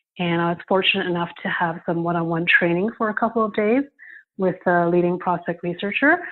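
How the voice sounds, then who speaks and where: A woman's unremarkable speaking voice with a Canadian accent, medium in pitch, with fairly even intonation. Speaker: prospect researcher. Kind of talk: interview.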